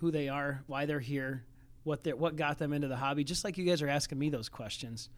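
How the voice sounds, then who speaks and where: On a very clean recording with a silent background, a man with a normal speaking voice talks at a fairly high pitch with fairly even intonation. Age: 40s. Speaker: sports card shop owner. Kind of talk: casual interview.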